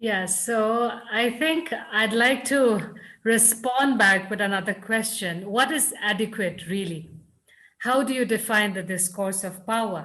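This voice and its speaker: A woman speaks at a fairly slow pace. She has a Nagaland accent. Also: fairly high pitch for a woman, ordinary pitch variation. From Nagaland, India. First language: Lotha. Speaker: writer and scholar. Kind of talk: panel discussion answer.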